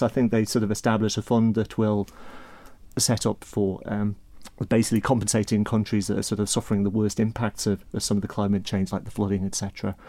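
Speaking at a very fast pace, a man with a Manx accent has a dark, mellow tone on a very clean recording with a silent background. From Isle of Man. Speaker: accounting firm partner. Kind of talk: casual chat.

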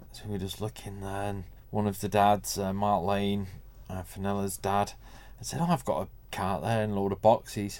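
Speaking in a Mancunian accent, a man with fairly low pitch uses fairly even intonation and big swings in loudness. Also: moderate pace. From Manchester, northern England. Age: 40s. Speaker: garage owner and racing father. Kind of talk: interview conversation.

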